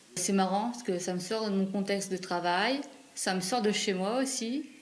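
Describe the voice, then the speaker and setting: Audible room echo surrounds a woman's voice. She speaks at a moderate pace with ordinary pitch variation. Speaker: volunteer presenter and home care aide. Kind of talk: interview.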